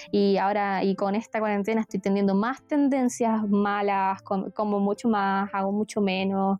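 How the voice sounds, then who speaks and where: A woman speaks at medium pitch and a moderate pace with hardly any pauses. Her intonation is monotone and flat, and her loudness is very even. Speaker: student and podcast co-host. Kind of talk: casual chat.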